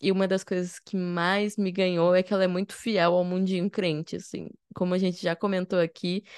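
An unremarkable speaking voice at a moderate pace, dry and close with no echo, over a quiet background. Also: woman. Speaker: podcast host. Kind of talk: casual chat. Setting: video call.

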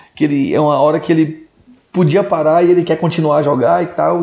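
A man's fairly high voice with fairly even intonation over noticeable background noise. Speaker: podcast host. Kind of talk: casual chat. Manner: relaxed, slangy.

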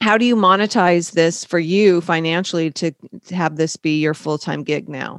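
A woman with a plain, everyday voice speaks at a moderate pace with fairly low pitch and ordinary pitch variation, recorded dry and close with no echo. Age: 50s. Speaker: podcast interviewer, founder of a modeling agency for older people. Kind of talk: interview.

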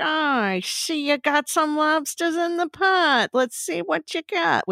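A put-on character voice, high in pitch and fairly slow in pace. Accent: New England.

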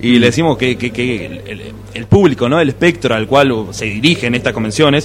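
Over noticeable background noise, a man at medium pitch talks at a fairly quick pace with lively intonation. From Buenos Aires, Argentina. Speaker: podcast commentator. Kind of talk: casual chat. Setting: live podcast festival table.

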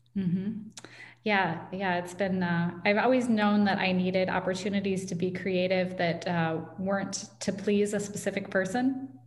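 A woman with an American accent, medium-pitched, at a moderate pace, with fairly even intonation and audible room echo. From US Midwest, Iowa (Ames). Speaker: tech company founder and author. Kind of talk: interview conversation.

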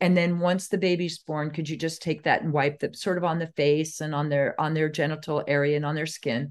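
A woman speaks with a very deep, low pitch and monotone, flat intonation. Her pace is fairly quick, with hardly any pauses. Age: 60s. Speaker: doctor and herbalist educator. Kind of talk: casual interview conversation. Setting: video call.

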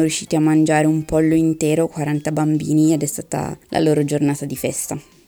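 A woman with a dark, mellow tone speaks at a moderate pace. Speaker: pharmacist. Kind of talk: interview. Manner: scripted-sounding reading.

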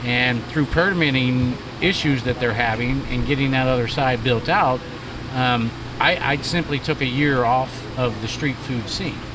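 Noticeable background noise sits behind a man's voice. He talks at a moderate pace with a medium pitch. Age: 50s. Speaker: chef and food truck association leader. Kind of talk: casual chat. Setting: outdoors at a food truck park.

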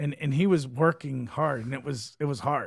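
A man speaks at a fairly high pitch, somewhat breathy, with ordinary pitch variation. The recording is very clean, with a silent background. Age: 40s. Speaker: fight promoter and podcast co-host. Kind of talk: casual chat. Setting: studio. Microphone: good studio mic.

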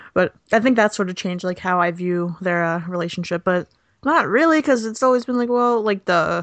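A woman with an unremarkable speaking voice talks at a medium pitch and a fairly quick pace, her intonation lively. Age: 20s. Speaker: podcast co-host. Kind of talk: casual chat.

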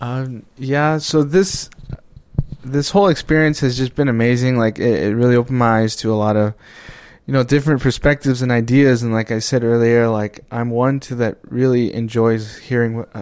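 A man with an American accent has an unremarkable speaking voice at a medium pitch, with fairly even intonation at a moderate pace. The recording is very clean with a silent background. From Navajo Reservation, Arizona. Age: 20s. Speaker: student intern. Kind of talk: interview.

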